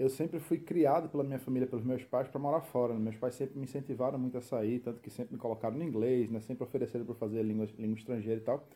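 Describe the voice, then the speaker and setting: A man speaks very fast with a strong Recife accent. His medium-pitched voice has a dark, mellow tone. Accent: strong Recife accent kept. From Recife, Brazil. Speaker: expat content creator. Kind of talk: casual chat.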